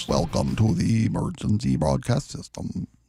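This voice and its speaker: Someone puts on a character voice whose pitch jumps very widely. The speech moves at an average speed. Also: man, very deep, low pitch for a man. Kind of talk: formal announcement.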